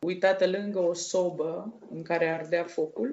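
A woman speaks with fairly even intonation in an ordinary speaking voice. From Romania, Dolj county. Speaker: guest, blind woman telling life story. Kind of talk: interview testimony.

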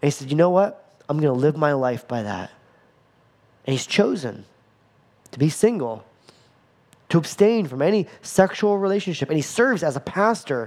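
Her very deep, low voice swings very widely in pitch as this woman talks at a moderate pace. She leaves long, frequent pauses. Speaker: pastor. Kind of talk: sermon.

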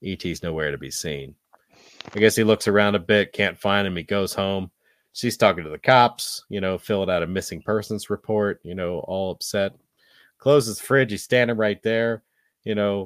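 A man with an ordinary speaking voice and fairly low pitch talks at a moderate pace, with ordinary pitch variation and big swings in loudness. The recording is very clean and dry, close with no echo, and the background is silent. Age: 40s. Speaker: podcast host, movie reviewer. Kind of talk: casual chat, movie review.

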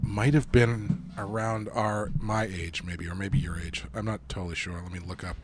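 A man speaks with a fairly low pitch. Noticeable background noise runs behind him. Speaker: podcast host. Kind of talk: casual chat. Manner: casual, rambling.

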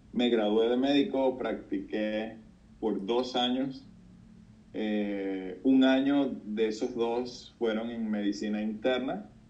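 A man at a very slow pace, medium pitch and fairly even intonation, with audible room echo. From Venezuela, Puerto Cabello. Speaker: doctor, pastor and charity founder. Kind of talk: interview.

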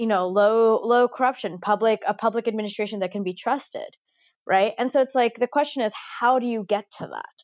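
A woman with a plain, everyday voice speaks at a fairly quick pace and a fairly high pitch against a quiet background. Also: dry, close sound with no echo. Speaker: tax policy expert. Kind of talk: interview.

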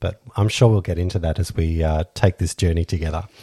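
The recording is very clean with a silent background and a dry, close sound with no echo. A man's dark, mellow, somewhat breathy voice shows ordinary pitch variation. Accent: Australian. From Australia. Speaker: podcast co-host. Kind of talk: casual chat. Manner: halting.

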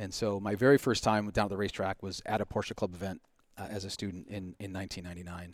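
A man with an American accent speaks very fast in a fairly low pitch and a monotone, flat intonation, in a very clean recording with a silent background. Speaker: driving instructor. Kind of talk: casual chat.

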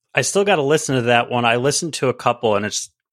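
In a very clean recording with a silent background, a man with an American accent talks at a very fast pace with ordinary pitch variation, the sound dry and close with no echo. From Central New York, near Syracuse. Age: 30s. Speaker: musician and guest co-host. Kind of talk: casual chat.

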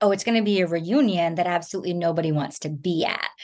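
A woman's ordinary speaking voice with an American accent, medium pitch, ordinary pitch variation and a fairly quick pace, over a quiet background. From New Jersey. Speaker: thriller novelist. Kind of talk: interview.

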